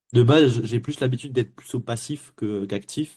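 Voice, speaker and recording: A man's voice with a dark, mellow tone. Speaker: sales closer coached live. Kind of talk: live coaching session. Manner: fast.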